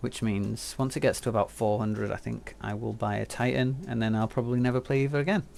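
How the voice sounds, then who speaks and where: Soft-spoken and at a fairly quick pace, a man uses a medium pitch with ordinary pitch variation. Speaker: game streamer. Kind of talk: live stream tutorial.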